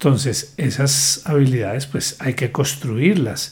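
Somewhat breathy and fairly high in pitch, a man speaks at a very slow pace. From Colombia, southern Huila (San Agustín). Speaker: lawyer. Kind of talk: interview.

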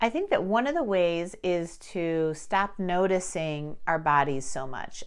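This is a normal speaking voice. The woman's pitch is fairly low, with ordinary pitch variation. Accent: American. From Chicago, Armenian diaspora family. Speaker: podcast host. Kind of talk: casual monologue.

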